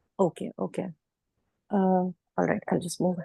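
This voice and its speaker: A woman with a medium-pitched, somewhat breathy voice talks at a moderate pace in a dry, close sound with no echo. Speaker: teacher seeking job. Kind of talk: question in online Q&A.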